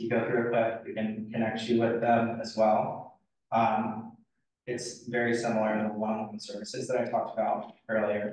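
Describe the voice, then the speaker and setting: Over audible room echo, a man at a medium pitch talks at a moderate pace with monotone, flat intonation. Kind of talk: presentation Q&A.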